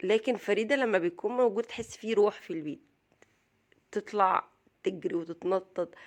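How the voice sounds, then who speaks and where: With an Egyptian accent, a woman speaks at a moderate pace and ordinary pitch variation against a quiet background. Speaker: vlogger, mother. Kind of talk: casual vlog talk.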